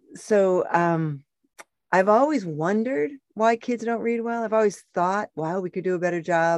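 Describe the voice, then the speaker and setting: A woman with an unremarkable speaking voice talks at a moderate pace. Her intonation is lively, and the sound is dry and close with no echo. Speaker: parenting organization founder. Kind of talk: casual podcast interview.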